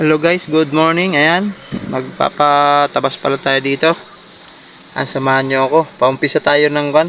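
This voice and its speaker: In an unremarkable speaking voice, a man talks with a fairly high pitch and fairly even intonation at a moderate pace. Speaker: vlogger. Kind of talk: casual vlog narration. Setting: outdoors on a farm field.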